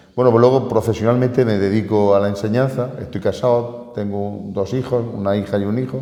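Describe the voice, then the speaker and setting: With audible room echo, a fairly low-pitched man speaks fairly quickly in a dark, mellow tone with fairly even intonation. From Spain, Murcia region (Totana). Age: 60s. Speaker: teacher and local historian, honorary Holy Week figure. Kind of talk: radio interview.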